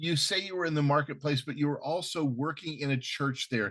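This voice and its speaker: An ordinary speaking voice from a man, moderate in pace, with ordinary pitch variation. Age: middle-aged. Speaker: podcast host. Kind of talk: interview. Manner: casual, warm conversational.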